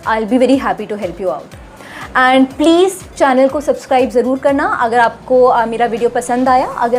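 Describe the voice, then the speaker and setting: Over music in the background, a woman talks in a high voice at a fairly slow pace. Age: 20s. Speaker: doctor and style vlogger. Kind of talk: vlog tutorial. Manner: hesitant, frequent fillers.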